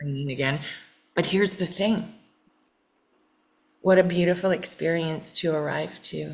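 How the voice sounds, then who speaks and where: Speaking at a moderate pace with long, frequent pauses, a woman uses a fairly low pitch with vocal fry and ordinary pitch variation. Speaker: healing coach. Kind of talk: therapeutic coaching session. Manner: repetitive, halting.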